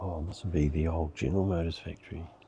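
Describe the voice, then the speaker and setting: In a New Zealand accent, a quiet, somewhat breathy voice with a dark, mellow tone moves at a moderate pace with ordinary pitch variation. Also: man. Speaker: motorcycle vlogger. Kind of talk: casual vlog narration. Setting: indoors in a car museum.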